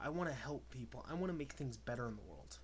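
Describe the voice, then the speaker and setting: A man is speaking. Room echo can be heard around his voice. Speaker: YouTuber giving a political rant. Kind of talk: solo political rant to camera. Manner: fast; animated, emphatic.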